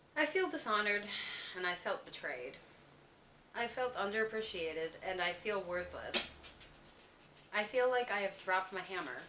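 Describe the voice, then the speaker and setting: Lively in intonation, a woman speaks at a medium pitch and a moderate pace. She leaves long, frequent pauses, and noticeable background noise is present. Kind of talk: personal letter reading.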